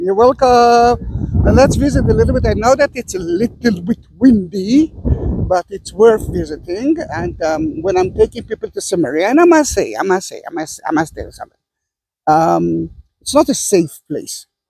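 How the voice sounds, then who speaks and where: At a moderate pace, a man speaks with big swings in loudness, the sound dry with no echo. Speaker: tour guide. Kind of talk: casual tour commentary. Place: open country. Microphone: phone near.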